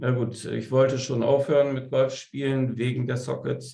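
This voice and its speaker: This fairly slow voice has a dark, mellow tone and sounds somewhat breathy. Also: man. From Bremen, northern Germany. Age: 50s. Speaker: veterinarian and amateur golfer. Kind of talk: interview. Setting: studio.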